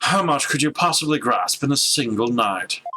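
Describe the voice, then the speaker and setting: A man in a put-on character voice, fairly high in pitch, at a moderate pace with very even loudness. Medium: game stream.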